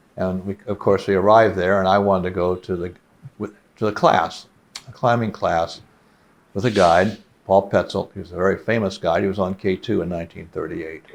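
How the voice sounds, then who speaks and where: With an American accent, a man with a very deep, low voice talks fairly quickly and with fairly even intonation over noticeable background noise. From US Midwest, Cincinnati, Ohio. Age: 70s. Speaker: mountaineer. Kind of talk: interview.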